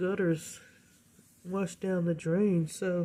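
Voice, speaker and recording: A soft-spoken woman talks very slowly in a fairly low, dark and mellow voice. Her intonation stays fairly even. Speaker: home balcony gardener. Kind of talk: casual talk to camera. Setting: indoors recording, rain outside.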